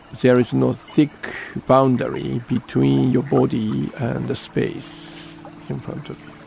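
Music plays behind a man with a Japanese accent in a calm, gentle tone. He goes at a very slow pace, with big swings in loudness. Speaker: Zen priest and radio host. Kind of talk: guided meditation. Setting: studio. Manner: slow, calm, gentle, unhurried; halting, with fillers.

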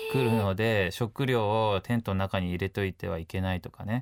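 A man speaks at a moderate pace with ordinary pitch variation in a very clean recording with a silent background and a dry, close sound with no echo. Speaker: photographer and adventurer. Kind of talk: interview. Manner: casual, hesitant fillers.

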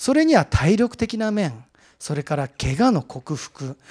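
High-pitched male voice with very wide pitch swings, recorded with a dry, close sound and no echo. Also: very clean recording, silent background. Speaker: mountaineer giving a talk. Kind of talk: lecture.

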